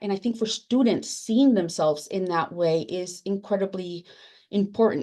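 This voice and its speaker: A woman's dark, mellow, medium-pitched voice with a Spanish accent at a moderate pace. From Latin America, immigrant to US. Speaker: academic librarian, book editor. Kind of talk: panel discussion. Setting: webinar. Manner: halting.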